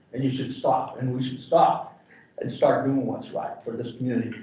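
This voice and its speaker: A man talks at a fairly quick pace with an American accent. Noticeable background noise runs behind him. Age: 70s. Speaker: community member. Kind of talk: public comment. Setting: public meeting. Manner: animated; loud.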